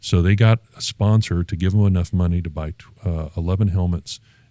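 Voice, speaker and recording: Over a silent background in a very clean recording, a man with a very deep, low pitch speaks at a moderate pace in a dark, mellow tone. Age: 60s. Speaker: artist and former football player. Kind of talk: podcast interview. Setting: studio. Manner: halting, many fillers and restarts.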